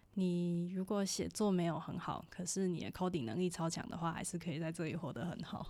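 A woman's fairly low voice with a dark, mellow tone, moving at a fairly quick pace with hardly any pauses. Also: ordinary pitch variation. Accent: Taiwanese. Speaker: podcast co-host, student abroad. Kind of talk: casual chat.

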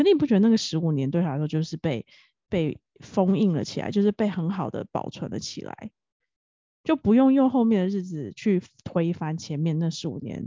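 With very wide pitch swings, a woman speaks at a moderate pace in a fairly low voice. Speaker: podcast co-host. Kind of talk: casual chat. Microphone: new professional microphone.

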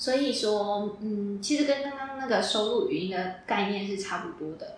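A woman's fairly high, lively voice at a fairly slow pace, with audible room echo and noticeable background noise. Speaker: speech therapy student. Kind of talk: casual interview.

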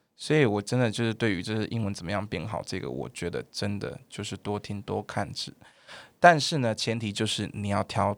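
A man with a Taiwanese accent talks at a moderate pace, with vocal fry and lively intonation. The recording is very clean, with a silent background. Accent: Taiwanese Mandarin. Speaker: primary school English teacher. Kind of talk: casual chat. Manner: loud.

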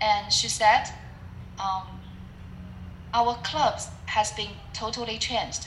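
In a room with audible echo, a woman with a Chinese accent speaks at a very slow pace, leaving long, frequent pauses. Her fairly high voice keeps fairly even intonation. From China (Shanghai). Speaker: public speaking club leader and team coach. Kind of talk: interview. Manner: halting, with fillers.

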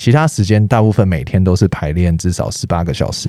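Over noticeable background noise, a man with a very deep, low voice speaks at a fairly quick pace with lively intonation. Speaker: street dancer. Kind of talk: casual interview.

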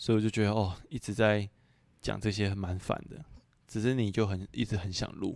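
Fairly low in pitch, a man speaks at a moderate pace. His intonation stays fairly even. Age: 20s. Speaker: podcast co-host. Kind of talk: casual chat.

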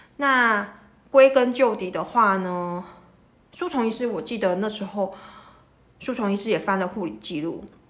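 A medium-pitched woman's voice at a moderate pace, with ordinary pitch variation, long, frequent pauses and audible room echo. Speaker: rheumatologist podcast host. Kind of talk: medical explainer monologue. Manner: casual, with many filler words.

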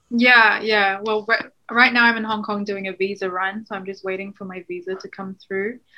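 A woman with a New Zealand accent, medium in pitch, monotone and flat, at a moderate pace with hardly any pauses and big swings in loudness. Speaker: NGO worker. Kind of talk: interview.

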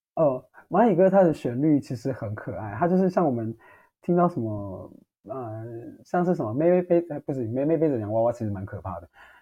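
A man with a medium pitch talks at a fairly quick pace, his pitch swinging very widely and his loudness rising and falling sharply. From Taiwan, Taitung. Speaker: social work student. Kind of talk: casual interview.

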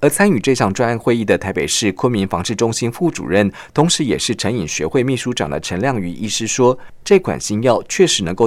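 The speaker talks at a moderate pace with hardly any pauses, and the pitch swings very widely. Vocal fry runs through the voice, and the recording is very clean with a silent background. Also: man. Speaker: radio news feature reporter. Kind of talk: scripted narration. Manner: formal.

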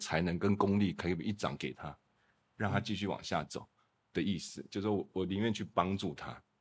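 A man with a normal speaking voice and a fairly low pitch talks at a fairly quick pace in a very clean recording with a silent background. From Taiwan (Kaohsiung). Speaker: lighting designer. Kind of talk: casual chat.

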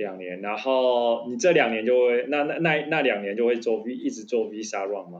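A man with an ordinary speaking voice talks at a moderate pace and medium pitch, with ordinary pitch variation, hardly any pauses and big swings in loudness. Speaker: podcast co-host. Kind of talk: casual chat.

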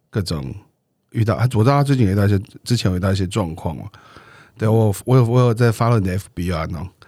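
In a very clean recording with a silent background, a man with a fairly low voice and a dark, mellow tone talks at a very fast pace. He leaves long, frequent pauses. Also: ordinary pitch variation. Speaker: podcast co-host. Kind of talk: casual chat. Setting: studio. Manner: playful.

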